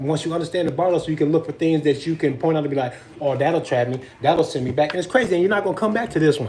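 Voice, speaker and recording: Very fast speech over noticeable background noise. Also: man, ordinary pitch variation. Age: 40s. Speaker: vlogger. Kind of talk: casual chat. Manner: loud.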